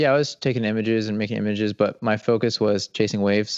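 A very fast, fairly low male voice with an American accent, over a quiet background. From Atlanta suburbs, Georgia, US South. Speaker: fine art photographer. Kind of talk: interview. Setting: video call.

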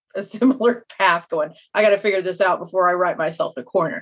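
A woman talks with a Kansas accent at a medium pitch. Her pitch varies in an ordinary way. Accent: Kansas twang, mild Midwestern. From Kansas, US. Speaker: fantasy author. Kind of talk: interview chat.

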